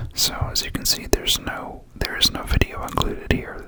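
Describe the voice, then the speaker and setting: A whisper at a moderate pace amid noticeable background noise. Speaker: ASMR creator. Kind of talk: casual talk to camera.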